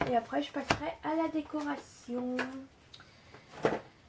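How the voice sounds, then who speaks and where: Pitch varies in an ordinary way against noticeable background noise. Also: woman. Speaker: scrapbooking tutorial maker. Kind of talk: tutorial. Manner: hesitant, many fillers.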